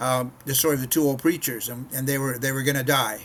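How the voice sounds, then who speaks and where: A man with a medium-pitched voice talks at a very fast pace over noticeable background noise. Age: 60s. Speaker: missionary preacher. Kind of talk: casual devotional talk to camera. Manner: conversational with frequent repetitions.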